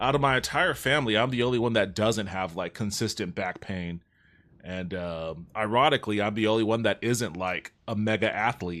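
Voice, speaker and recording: A man with an American accent speaks in a normal speaking voice at a moderate pace, fairly low in pitch with ordinary pitch variation. The recording is very clean, with a silent background. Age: 30s. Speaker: gaming streamer. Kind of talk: casual chat. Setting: live stream.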